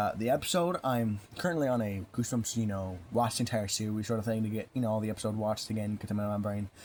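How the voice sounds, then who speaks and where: A man speaks at a very fast pace in a fairly low voice, with ordinary pitch variation. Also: hardly any pauses. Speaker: book reviewer. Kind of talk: casual book review monologue. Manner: stuttering, halting; rambling filler-heavy delivery.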